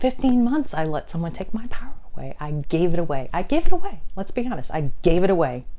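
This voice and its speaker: The speaker moves at a fairly quick pace with very wide pitch swings, while audible room echo and noticeable background noise fill the recording. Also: woman. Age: 50s. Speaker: weight loss vlogger. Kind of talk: personal vlog. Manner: fast.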